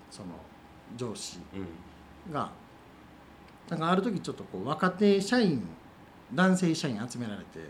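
A fairly high-pitched man in a Kansai accent, moderate in pace, with very wide pitch swings and long, frequent pauses. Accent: Kansai Japanese. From Wakayama, Japan (Kinokawa). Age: 40s. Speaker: coffee roaster and cafe owner. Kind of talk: interview.

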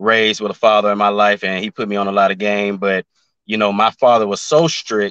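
In a Southern US accent, a man speaks fairly quickly at a fairly low pitch with fairly even intonation and a bright, sharp tone, the sound dry and close with no echo against a quiet background. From Memphis, Tennessee. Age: 20s. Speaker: YouTuber and musician. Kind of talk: casual chat.

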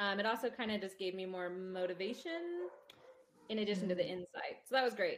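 Speaking in a plain, everyday voice, a woman uses lively intonation at a medium pitch. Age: 30s. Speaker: mother and friend of the host. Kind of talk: casual chat.

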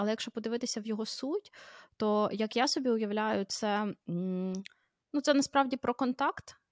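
A woman's plain, everyday voice, fairly high-pitched with ordinary pitch variation, at a fairly slow pace, dry and close with no echo, on a very clean recording with a silent background. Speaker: podcast host, mother. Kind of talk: casual chat.

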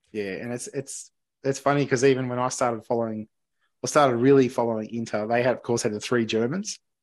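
Medium in pitch, a man speaks at a very fast pace. His intonation stays fairly even. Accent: Australian. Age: 40s. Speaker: podcast host. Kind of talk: casual chat. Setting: remote call.

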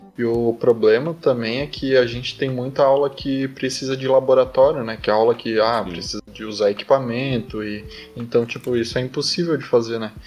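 A man's medium-pitched voice at a moderate pace, fairly even in intonation, with big swings in loudness, hardly any pauses and noticeable background noise. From southern Brazil. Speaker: engineering student. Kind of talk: casual chat. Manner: casual, filler-heavy speech.

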